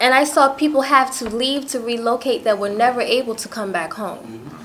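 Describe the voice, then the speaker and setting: Speaking fairly quickly with an American accent, a woman shows ordinary pitch variation over noticeable background noise. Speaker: community activist. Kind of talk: roundtable discussion.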